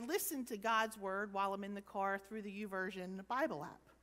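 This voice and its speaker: A woman is talking. Her pace is moderate. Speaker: preacher. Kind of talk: sermon. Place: church.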